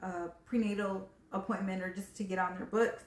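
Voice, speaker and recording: There is noticeable background noise behind this woman. Her medium-pitched voice keeps a fairly even intonation. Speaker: video blogger. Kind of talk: personal story vlog. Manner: fast; casual, filler-heavy.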